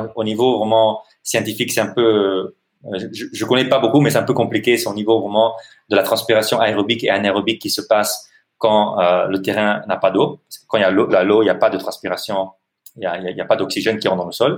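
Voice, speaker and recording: Speaking at a fairly quick pace with an Italian accent, a man uses a fairly low pitch and fairly even intonation. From Italy. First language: Italian (speaking French). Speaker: NGO director and social entrepreneur. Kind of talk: interview. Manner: halting.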